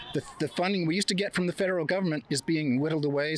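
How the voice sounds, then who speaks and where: This man talks at a very fast pace in a fairly high pitch, his intonation fairly even, the sound dry and close with no echo but noticeable background noise. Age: 70s. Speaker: street interviewee at a protest. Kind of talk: street interview.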